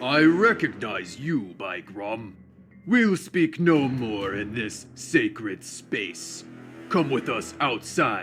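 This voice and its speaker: Music plays in the background. A man at a medium pitch does a put-on character voice at a very slow pace. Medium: video game. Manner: archaic, formal.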